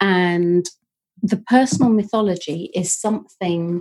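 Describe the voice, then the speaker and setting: In a Yorkshire accent, a woman speaks at a fairly low pitch with a dark, mellow tone. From northern England (Leeds, Yorkshire). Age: 50s. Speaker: podcast co-host. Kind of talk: casual chat.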